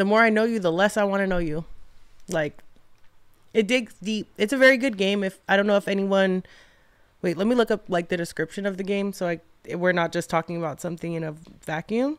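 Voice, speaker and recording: In a very clean recording with a silent background, a woman with an ordinary speaking voice talks at a fairly quick pace, medium in pitch with ordinary pitch variation. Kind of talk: casual chat.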